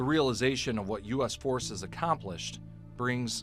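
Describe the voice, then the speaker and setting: A man speaks at a moderate pace in a medium pitch with lively intonation. Music plays in the background. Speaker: news reporter. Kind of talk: TV news narration.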